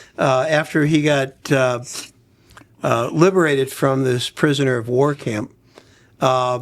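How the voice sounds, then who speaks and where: A man speaks in a normal speaking voice with a fairly high pitch. His pitch variation is ordinary. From Brooklyn, New York. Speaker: podcast host. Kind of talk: podcast conversation.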